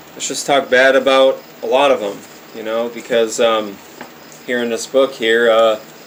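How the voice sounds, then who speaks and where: Speaking at a fairly slow pace, a man with a medium pitch keeps a monotone, flat intonation over noticeable background noise. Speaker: conspiracy video maker. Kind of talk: casual monologue with reading aloud. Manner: stammering, hesitant; unscripted, improvised.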